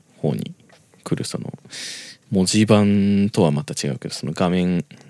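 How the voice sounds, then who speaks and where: A man talks in a relaxed, dark, mellow tone. The sound is dry and close with no echo. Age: 20s. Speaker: podcast host. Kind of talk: casual monologue. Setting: home recording at night. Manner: rambling, relaxed.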